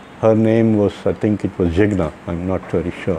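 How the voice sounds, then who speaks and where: A man's speech moves at a middling speed while noticeable noise runs underneath. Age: 60s. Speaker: dental patient. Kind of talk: testimony. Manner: halting.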